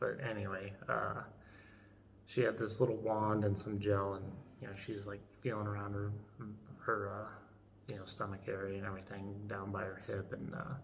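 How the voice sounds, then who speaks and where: A man with an American accent talks at a moderate pace in a monotone, flat intonation, leaving long, frequent pauses, with audible room echo around him. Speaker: woodworking channel owner, soldier vlogging. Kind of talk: casual vlog. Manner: halting, many fillers.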